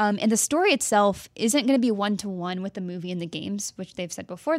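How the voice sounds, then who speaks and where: In an American accent, the voice races at a very fast pace, its sound dry and close with no echo on a very clean recording with a silent background. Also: woman. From Texas. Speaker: video game journalist. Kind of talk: casual chat.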